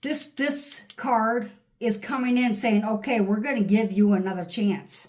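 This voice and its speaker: A somewhat breathy woman speaks at a fairly slow pace and a fairly high pitch, with ordinary pitch variation. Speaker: tarot reader. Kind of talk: tarot reading. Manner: animated.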